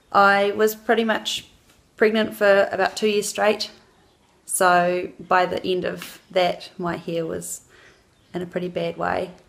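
A woman with a New Zealand accent talks at a fairly slow pace. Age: 20s. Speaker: mother, customer. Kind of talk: customer testimonial to camera. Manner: casual, hesitant. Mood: cheerful, friendly. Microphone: phone near.

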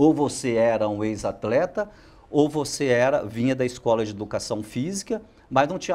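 A man's dark, mellow voice with lively intonation at a moderate pace. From Minas Gerais, Brazil. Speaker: football coach. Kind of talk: interview. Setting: studio. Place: studio. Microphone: lapel.

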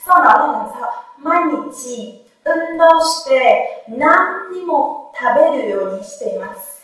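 A woman speaks at a fairly slow pace in an extremely high voice, with very wide pitch swings and big swings in loudness. Strong room echo fills the space, though the background is quiet. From Vietnam. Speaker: Japanese language teacher. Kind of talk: lecture. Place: classroom. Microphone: camera far.

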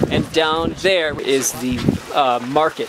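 A man with ordinary pitch variation, dry sound without echo, and loud background noise. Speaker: travel vlogger. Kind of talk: casual vlog chat. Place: open country. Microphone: phone near.

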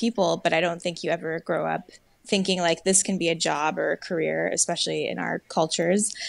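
The delivery is at a fairly quick pace. The sound is dry, with no echo. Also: woman. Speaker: screenwriter. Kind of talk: casual interview. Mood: relaxed, reflective. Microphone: earbuds.

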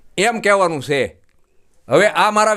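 A man's raised, projected voice, high in pitch, bright and sharp in tone, with ordinary pitch variation. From Gujarat, Bhavnagar district (Saurashtra). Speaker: visitor collecting medicine for a relative. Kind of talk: on-camera testimony.

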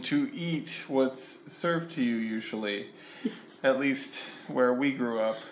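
A man's fairly high voice with ordinary pitch variation, light background noise behind it. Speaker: travel vlogger. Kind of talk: casual chat. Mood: cheerful, joking. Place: home room. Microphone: phone near.

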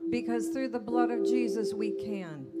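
A woman's voice with clear music in the background. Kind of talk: prayer. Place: church.

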